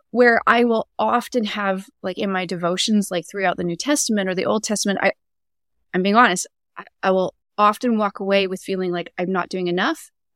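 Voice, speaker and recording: A woman's normal speaking voice with a Canadian accent, medium pitch, ordinary pitch variation and a fairly quick pace, in dry, close sound with no echo. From Canada. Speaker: Enneagram coach. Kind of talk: casual interview.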